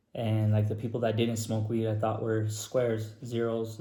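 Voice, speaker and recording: A man's somewhat breathy voice, dark and mellow in tone, at a medium pitch and moderate pace, with monotone, flat intonation and audible room echo. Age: 30s. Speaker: person in addiction recovery. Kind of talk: personal testimony. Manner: casual, filler-heavy.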